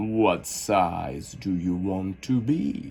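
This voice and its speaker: A put-on character voice with lively intonation. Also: man. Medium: read story. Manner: slow, terse, drowsy.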